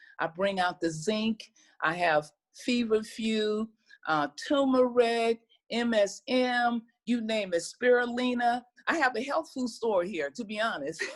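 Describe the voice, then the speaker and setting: Over a silent background in a very clean recording, a woman with a plain, everyday voice speaks fairly slowly, her fairly high pitch carried by lively intonation. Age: 60s. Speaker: herbal wellness practitioner. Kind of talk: casual chat.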